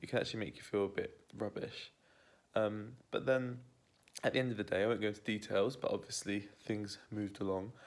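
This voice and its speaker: With a British accent, this man talks at a fairly quick pace in a fairly low pitch, his intonation monotone and flat. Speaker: vegan keto cooking vlogger. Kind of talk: casual vlog chat. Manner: quiet, hushed.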